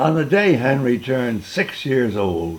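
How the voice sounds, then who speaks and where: A man speaks very slowly in a medium pitch. His pitch swings very widely. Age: 80s+. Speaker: great-grandfather reading aloud. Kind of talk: children's story reading.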